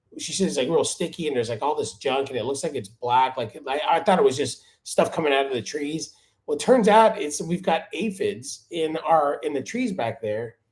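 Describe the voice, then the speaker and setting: Speaking at a moderate pace in an American accent, this voice makes very wide pitch swings with hardly any pauses. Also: man, fairly high pitch for a man. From Miami, Florida. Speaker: lawn care YouTuber. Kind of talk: live stream chat. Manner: casual.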